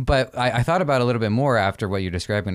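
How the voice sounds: A man speaks at a fast pace with ordinary pitch variation. The recording is very clean, with a silent background.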